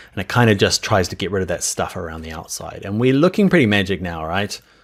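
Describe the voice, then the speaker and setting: Speaking with a New Zealand accent, a man talks at a very fast pace. His tone is enthusiastic, and his pitch swings very widely. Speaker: software instructor. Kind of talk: tutorial. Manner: casual, enthusiastic.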